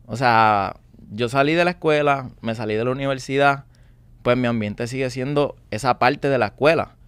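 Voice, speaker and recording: A man with an unremarkable speaking voice talks at a moderate pace and medium pitch, with fairly even intonation and a dry sound with no echo. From Puerto Rico. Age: 20s. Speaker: young salesman. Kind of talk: interview testimony. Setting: studio. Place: studio. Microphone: studio mic.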